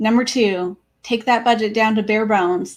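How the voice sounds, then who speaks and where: Recorded very cleanly against a silent background, a woman uses a plain, everyday voice at a fairly high pitch, with fairly even intonation and a moderate pace. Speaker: personal finance educator. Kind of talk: tutorial.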